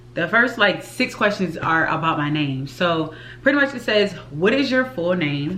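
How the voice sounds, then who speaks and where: Her voice carries audible room echo. The woman talks at a moderate pace. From US South, Richmond, Virginia. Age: 20s. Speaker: YouTube vlogger and flight attendant. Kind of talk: casual vlog talk to camera.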